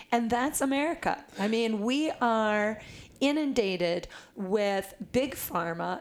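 A woman speaks with a fairly high pitch and ordinary variation in her pitch. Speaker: wellness author. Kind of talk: casual interview.

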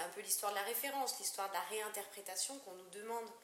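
A woman speaks at a medium pitch with fairly even intonation. Audible room echo and noticeable background noise are present. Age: 40s. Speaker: architect. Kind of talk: interview. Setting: at her home. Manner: halting, many hesitations.

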